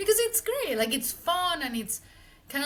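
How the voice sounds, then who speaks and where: A woman with a Mexican accent, at a fairly quick pace. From Mexico City. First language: Spanish. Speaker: marketing executive. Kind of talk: interview conversation. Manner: casual, lots of filler words.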